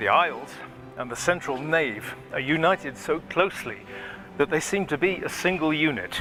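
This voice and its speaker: A man's fairly high voice at a moderate pace, with lively intonation, long and frequent pauses, and music in the background. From Britain. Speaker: actor and musician, documentary narrator. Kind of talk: documentary narration.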